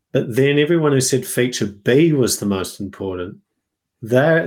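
A man with an Australian accent talks at medium pitch and a moderate pace, with lively intonation, on a very clean recording with a silent background. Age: 30s. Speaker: software company founder. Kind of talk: casual interview.

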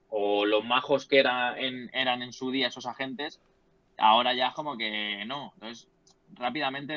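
A man speaks at a medium pitch in a flat monotone, his loudness swinging widely. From Spain, Leganés (Madrid). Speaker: sports journalist. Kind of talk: casual chat.

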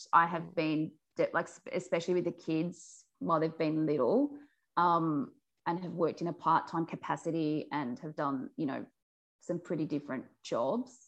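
A woman with an Australian accent speaks at a moderate pace in a fairly low pitch with ordinary pitch variation, against a quiet background. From New South Wales Central West, Australia. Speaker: journalist and macadamia farmer. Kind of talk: interview.

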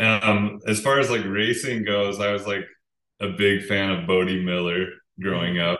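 A bright, sharp tone with an American accent, fairly even intonation and a moderate pace. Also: man, fairly low pitch for a man. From Utah. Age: 30s. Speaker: pro skier. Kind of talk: casual interview chat. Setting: at home, remote call.

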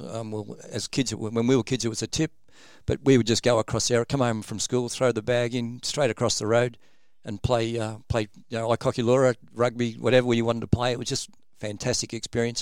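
In a very clean recording with a silent background and a dry, close sound with no echo, a man speaks at a moderate pace. His medium-pitched voice keeps a fairly even intonation. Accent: Australian. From Sydney, Australia. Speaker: former rugby league player. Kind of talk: interview. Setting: studio. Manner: halting, many ums.

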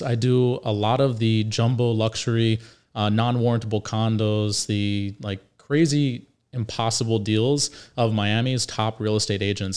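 A man with an American accent speaks in a plain, everyday voice at a medium pitch with fairly even intonation, on a very clean recording with a silent background. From Northern Virginia, rural. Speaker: podcast co-host, mortgage broker. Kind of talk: casual chat.

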